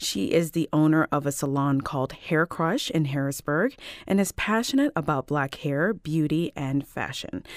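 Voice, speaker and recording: A woman talks in a very deep, low voice with ordinary pitch variation and hardly any pauses. The recording is very clean, with a silent background. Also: moderate pace. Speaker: radio host. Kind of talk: interview.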